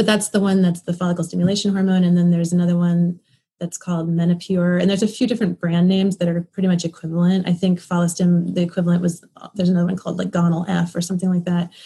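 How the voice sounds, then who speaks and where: Very fast and somewhat breathy, a woman speaks in a fairly low pitch with a dark, mellow tone and a monotone, flat intonation. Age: 30s. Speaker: fertility patient and mother. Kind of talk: interview.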